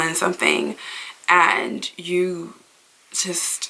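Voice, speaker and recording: With an American accent, a woman talks over noticeable background noise. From Maryland. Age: 20s. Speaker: beauty vlogger. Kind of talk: casual chat. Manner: rambling, filler-heavy.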